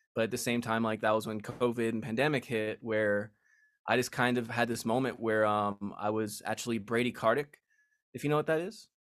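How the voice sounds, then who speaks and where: A man with a normal speaking voice and an American accent talks at a fairly quick pace. His medium pitch follows fairly even intonation on a very clean recording with a silent background. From Las Vegas, US. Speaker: musician and author. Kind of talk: casual interview.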